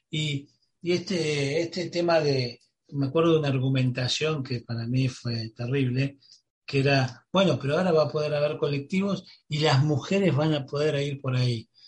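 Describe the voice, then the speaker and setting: A man's plain, everyday voice, fairly high in pitch, with fairly even intonation at a moderate pace. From Buenos Aires, Argentina. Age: 50s. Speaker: radio host. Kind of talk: radio interview.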